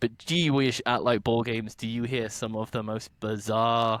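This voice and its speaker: A man with a British accent at a medium pitch and a fairly slow pace, in a very clean recording with a silent background. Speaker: podcast host. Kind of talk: casual chat. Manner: loud; animated.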